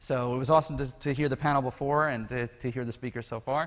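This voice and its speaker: A man talking at a very fast pace, ordinary pitch variation, over a quiet background. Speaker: conference speaker; educational technologist. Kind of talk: conference talk; casual chat. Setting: stage with audience.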